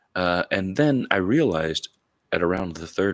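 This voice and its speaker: Recorded very cleanly against a silent background, this man's voice is dry and close with no echo. He speaks at a fairly slow pace. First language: Tamil. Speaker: video blogger. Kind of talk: casual monologue. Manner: halting, many fillers.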